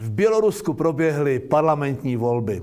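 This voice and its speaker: Fairly slow delivery with very wide swings in pitch. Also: man. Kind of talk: scripted satirical commentary.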